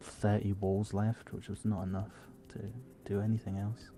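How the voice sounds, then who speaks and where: Quiet and at a fairly quick pace, the voice has a dark, mellow tone and monotone, flat intonation. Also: man. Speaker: game level designer. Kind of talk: casual interview chat. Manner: quiet, speaking low. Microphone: too quiet, poor quality microphone.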